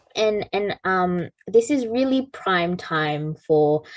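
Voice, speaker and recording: Very slowly, a woman talks at medium pitch, the sound dry and close with no echo against a quiet background. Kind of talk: conference speech. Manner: hesitant, many fillers.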